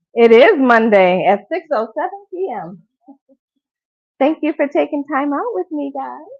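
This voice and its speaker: Long, frequent pauses, big swings in loudness and very wide pitch swings. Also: woman, high pitch for a woman, fairly slow pace, dry, close sound with no echo. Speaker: chef teaching a cooking class. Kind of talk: live cooking demonstration.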